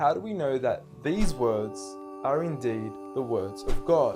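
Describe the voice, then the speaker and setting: Music is audible in the background. A man speaks at a medium pitch. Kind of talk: spoken word poetry.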